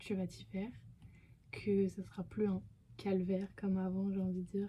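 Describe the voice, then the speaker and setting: This woman has a medium pitch, a somewhat breathy quality and a dark, mellow tone. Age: 20s. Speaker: YouTuber. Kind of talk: casual vlog Q&A. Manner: hesitant, many fillers.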